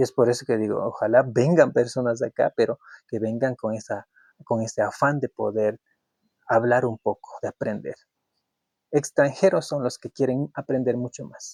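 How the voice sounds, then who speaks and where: A man with an Ecuadorian accent, recorded dry and close with no echo. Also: moderate pace. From Ecuador, Kichwa community. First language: Kichwa (speaking Spanish). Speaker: YouTube commentator. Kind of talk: opinion monologue. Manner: halting, with repetitions.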